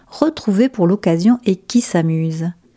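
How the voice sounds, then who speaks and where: A woman's voice with a dark, mellow tone and lively intonation comes through in a dry, close sound with no echo. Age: 50s. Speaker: former clothing retail worker writing a letter. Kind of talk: reading aloud. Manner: formal.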